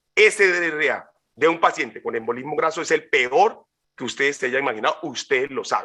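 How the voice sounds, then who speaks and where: A man speaks at a high pitch in a bright, sharp tone. His pitch variation is ordinary. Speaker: physician speaker. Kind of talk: lecture. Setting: webinar. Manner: fast; halting.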